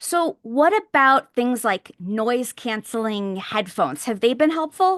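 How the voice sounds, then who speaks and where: Loud and at a fairly slow pace, a woman with a high pitch and very wide pitch swings speaks with hardly any pauses, in a dry, close sound with no echo over a quiet background. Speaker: podcast co-host. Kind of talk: casual chat.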